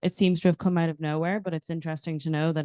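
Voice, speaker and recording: A woman speaks with a very deep, low pitch and a dark, mellow tone. The sound is dry and close with no echo against a quiet background. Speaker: audience member asking a question. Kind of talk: audience question. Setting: conference panel with audience. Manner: loud.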